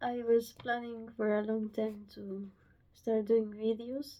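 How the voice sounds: In a nervous tone, a woman speaks slowly at a fairly high pitch that barely moves.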